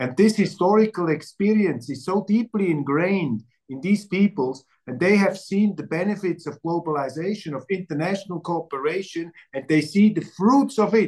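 A man talks with a German accent at a moderate pace. His intonation is lively. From Switzerland. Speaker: journalist and interview host. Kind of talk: interview. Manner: halting with fillers.

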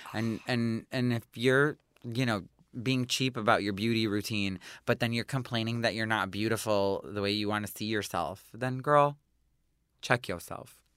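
Someone with an American accent speaks at a moderate pace on a very clean recording against a silent background. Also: man, medium pitch for a man. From US Midwest, Detroit. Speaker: makeup artist and beauty entrepreneur. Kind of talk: casual chat. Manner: animated.

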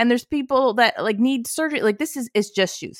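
In a very clean recording with a silent background and a dry, close sound with no echo, a woman speaks at a fairly quick pace and high pitch with ordinary pitch variation. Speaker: podcast co-host. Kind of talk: casual discussion.

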